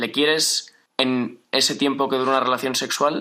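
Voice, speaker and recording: The man has a bright, sharp tone. He speaks at a moderate pace with fairly even intonation. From Madrid, Spain. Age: 20s. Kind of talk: radio interview.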